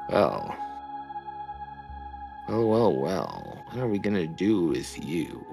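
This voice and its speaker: A man's put-on character voice at a fairly low pitch, fairly slow pace and long, frequent pauses, with clear music in the background. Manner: menacing, mock-pondering.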